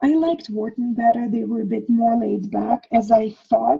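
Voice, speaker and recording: A woman speaks at a fairly slow pace. Her tone is dark and mellow, her pitch fairly high. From Ukraine (Soviet Union). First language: Russian or Ukrainian. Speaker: past life regression healer. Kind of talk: interview conversation.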